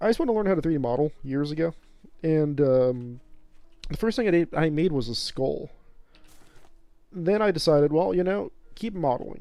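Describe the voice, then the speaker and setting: A man's fairly high voice with an American accent, lively intonation and a moderate pace, over music in the background. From northern Colorado, US. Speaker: streamer. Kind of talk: casual live-stream commentary. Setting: live stream at home. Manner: loud; halting, filler-heavy.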